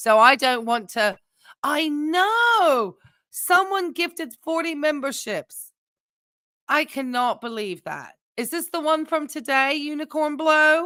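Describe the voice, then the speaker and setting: A woman uses a raised, projected voice with a high pitch and a bright, sharp tone. She speaks very slowly with lively intonation on a very clean recording with a silent background. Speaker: streamer.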